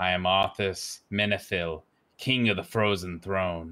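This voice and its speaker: A man uses a put-on character voice, very deep and low in pitch. He goes at a fairly slow pace on a very clean recording with a silent background. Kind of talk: role-play improv, grandiose. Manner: grandiose, haughty.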